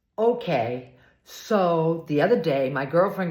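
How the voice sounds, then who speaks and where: Amid audible room echo, a woman sounds animated, her pitch swinging very widely. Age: 70s. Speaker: video blogger. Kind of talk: casual storytelling vlog.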